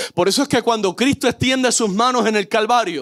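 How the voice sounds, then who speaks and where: A man with a Puerto Rican accent and an extremely high pitch. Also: dry, close sound with no echo. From Puerto Rico. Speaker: pastor. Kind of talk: sermon.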